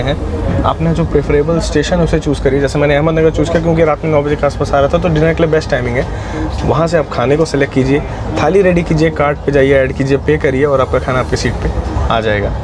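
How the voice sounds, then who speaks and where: Over noticeable background noise, a man speaks at a fairly quick pace with very even loudness. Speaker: travel vlogger. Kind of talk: casual vlog chat. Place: train. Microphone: phone near.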